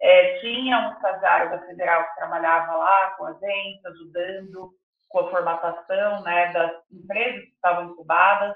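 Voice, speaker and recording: A woman's normal speaking voice at medium pitch and a moderate pace, with fairly even intonation and big swings in loudness. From Mato Grosso do Sul, Brazil (interior). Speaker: chocolate entrepreneur, product designer. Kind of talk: interview.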